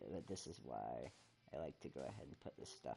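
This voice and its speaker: A soft-spoken man talks at a moderate pace in a dark, mellow tone. His voice rumbles and carries vocal fry. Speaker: gaming streamer. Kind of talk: casual chat. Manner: quiet, soft-spoken; rumbly.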